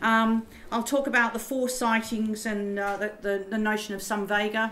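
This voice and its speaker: A woman with a fairly high pitch and a bright, sharp tone talks at a moderate pace in an Australian accent, her intonation fairly even, with audible room echo. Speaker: professor. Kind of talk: lecture. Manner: halting, many fillers.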